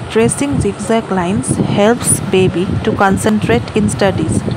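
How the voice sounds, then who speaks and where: The pace is fairly slow. Loud background noise runs underneath. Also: woman. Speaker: parent vlogger. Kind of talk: tutorial. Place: home room. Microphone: phone near.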